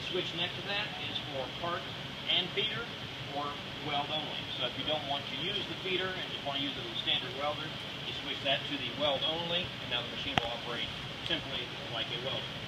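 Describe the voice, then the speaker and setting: Over loud background noise, a man talks at a fairly quick pace with ordinary pitch variation. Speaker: equipment demonstrator. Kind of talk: tutorial. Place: factory. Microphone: camera far.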